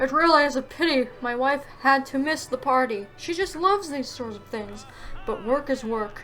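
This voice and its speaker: A woman's put-on character voice at a moderate pace over clear background noise. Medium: game stream. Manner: haughty, condescending.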